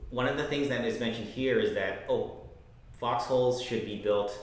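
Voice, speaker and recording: Someone speaks at a moderate pace, with audible room echo. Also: man. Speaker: game developer. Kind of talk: casual chat.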